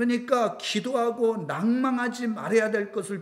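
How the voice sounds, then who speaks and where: A man talks at a fairly slow speed. The room gives off an audible echo. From South Korea. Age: 60s. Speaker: pastor. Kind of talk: sermon.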